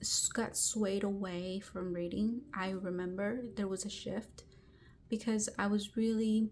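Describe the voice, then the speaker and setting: Somewhat breathy and at a very slow pace, a woman with a Spanish accent speaks at medium pitch with monotone, flat intonation. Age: 30s. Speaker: book vlogger. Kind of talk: personal storytelling vlog. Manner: casual, with fillers and false starts.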